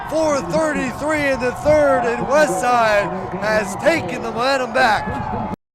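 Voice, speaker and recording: Over crowd noise, a man speaks at a very slow pace with lively intonation. His pitch is extremely high. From Omaha, Nebraska. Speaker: sports play-by-play commentator. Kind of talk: sports play-by-play commentary.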